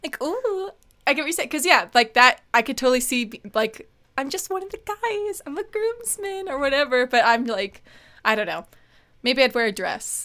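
In a raised, projected voice, a woman speaks at a moderate pace with a high pitch, very wide pitch swings and a bright, sharp tone. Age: 20s. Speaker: podcast co-host. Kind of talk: casual chat. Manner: animated.

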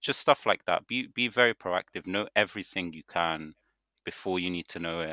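In a British accent, a man with a very deep voice and a bright, sharp tone speaks at a moderate pace, his pitch varying normally and his loudness swinging widely, in a dry, close sound with no echo against a quiet background. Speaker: podcast co-host, dental student. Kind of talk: casual chat.

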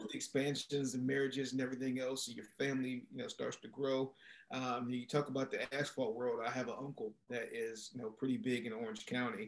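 Speaking in an American accent, a man holds a medium pitch and a monotone, flat intonation at a fairly quick pace with hardly any pauses. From Maryland, US. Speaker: entrepreneur and former athlete. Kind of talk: casual interview chat.

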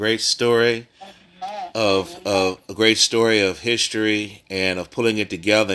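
A man talks in a bright, sharp tone at a medium pitch. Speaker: pastor leading prayer call. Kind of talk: devotional reading and prayer call.

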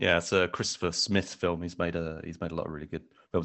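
A man is talking. His pitch is very deep and low. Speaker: podcaster and film commentator. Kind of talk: casual chat. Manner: hesitant, filler words.

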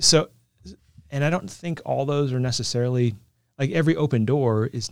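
Speaking with an American accent, a man keeps a moderate pace. His pitch varies in an ordinary way. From Northern California (Concord, Walnut Creek area). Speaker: pastor. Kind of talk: interview conversation. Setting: studio.

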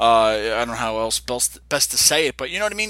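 This man talks at a very fast pace in a bright, sharp tone. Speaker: wrestling podcast co-host. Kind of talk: casual chat. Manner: hesitant, filler-heavy.

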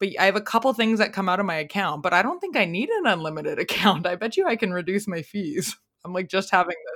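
Woman in a normal speaking voice, medium pitch, fairly quick pace. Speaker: podcast host. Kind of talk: casual interview chat. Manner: chatty, rambling.

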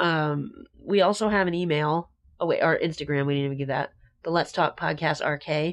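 A woman talks at a fairly quick pace with a very deep, low pitch. Her intonation stays fairly even. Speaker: podcast host. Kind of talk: casual chat about true crime. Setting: pre-recorded, home-style podcast audio.

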